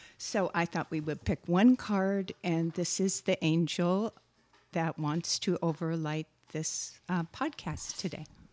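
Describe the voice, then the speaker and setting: In a normal speaking voice with an American accent, a woman speaks fairly slowly at a fairly low pitch with ordinary pitch variation. The sound is dry and close with no echo, and the recording is very clean with a silent background. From Wisconsin. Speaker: guided relaxation teacher. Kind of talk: guided meditation and calm conversation.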